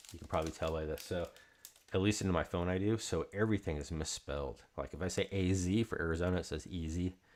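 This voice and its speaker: A man mumbles at a very fast pace. His pitch is very deep and low, with fairly even intonation. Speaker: card break host. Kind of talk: live stream card break chat. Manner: mumbling.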